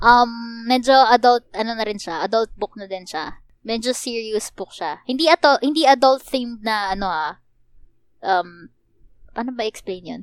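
A normal speaking voice from a woman, fairly high-pitched and fairly slow, with lively intonation, big swings in loudness and a dry, close sound with no echo. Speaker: podcast co-host. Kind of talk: casual chat.

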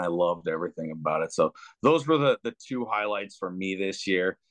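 This man has a very deep, low pitch and ordinary pitch variation. He speaks at a moderate pace in a dry, close recording with no echo. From Canada. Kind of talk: casual chat.

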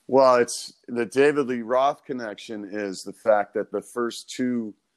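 A man's unremarkable speaking voice at a moderate pace with ordinary pitch variation, dry and close with no echo, on a very clean recording with a silent background. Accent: American. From Chicago and Orange County, California. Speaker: guitarist. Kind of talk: casual chat.

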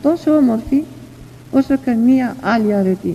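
Noticeable background noise accompanies a woman with a fairly high voice. She speaks at a fairly slow pace with lively intonation. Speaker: elder, spiritual teacher. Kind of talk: devotional sermon and prayer reading. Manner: tender, emotional, earnest.

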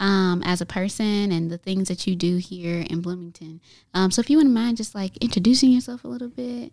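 Woman's voice, medium in pitch, with lively intonation at a moderate pace on a very clean recording with a silent background. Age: young. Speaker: community center podcast host. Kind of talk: casual interview. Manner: hesitant, many fillers.

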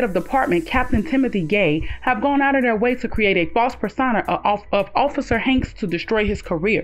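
Against noticeable background noise, a woman with a fairly high pitch talks at a fairly quick pace with hardly any pauses, lively intonation, and very even loudness. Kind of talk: radio newsreading. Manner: steady, formal, even-paced anchor tone.

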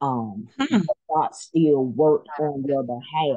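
A woman speaks at a fairly slow pace in a very deep, low voice with a dark, mellow tone. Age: 30s. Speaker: nurse. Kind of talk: casual chat.

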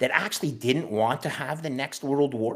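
A man with a Canadian accent has an unremarkable speaking voice at a medium pitch. He talks at a fairly quick pace with ordinary pitch variation. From Canada. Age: 50s. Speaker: bond trader and Bitcoin strategist. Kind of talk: casual interview.

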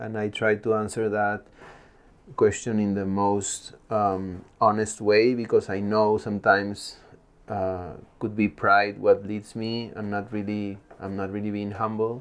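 A man's fairly low, flat, monotone voice in a Spanish accent, at a fairly slow pace. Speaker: mountain athlete and adventure filmmaker. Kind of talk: casual interview conversation.

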